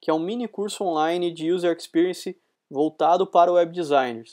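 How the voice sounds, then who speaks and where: A voice in a rural São Paulo accent comes through with a dry, close sound with no echo, over a quiet background. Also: man. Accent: São Paulo countryside (caipira). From Brazil, interior of São Paulo state. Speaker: UX designer and lecturer. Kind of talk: recorded conference talk. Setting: recorded talk streamed live to an event.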